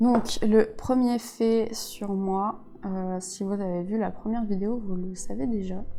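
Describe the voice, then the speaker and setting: The speaker talks at a very slow pace with fairly even intonation, in a room with audible echo and music in the background. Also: woman, medium pitch for a woman. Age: 20s. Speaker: YouTuber. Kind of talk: casual chat. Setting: home facecam while doing makeup.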